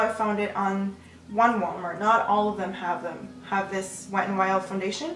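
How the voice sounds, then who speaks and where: A woman speaks with audible room echo. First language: Spanish. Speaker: beauty youtuber. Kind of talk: makeup tutorial chat. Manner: casual, with fillers and self-corrections.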